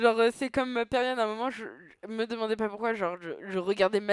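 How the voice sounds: What we hear is a natural reading voice.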